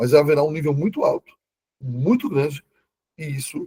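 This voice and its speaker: This man's voice is fairly high, somewhat breathy and dark and mellow in tone, moving at a moderate pace with a dry, close sound and no echo. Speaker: Bible teacher. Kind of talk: online lecture.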